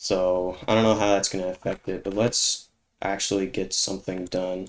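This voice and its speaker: Here a man talks at a moderate pace in a fairly low voice. His intonation stays flat and monotone. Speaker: gaming YouTuber. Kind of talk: gameplay commentary. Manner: halting.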